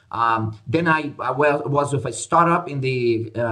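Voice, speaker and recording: The speaker has a Portuguese accent and ordinary pitch variation. Noticeable background noise is present. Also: man. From Brazil. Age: 50s. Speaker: conference organizer and business advisor. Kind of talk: podcast interview. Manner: hesitant, many fillers.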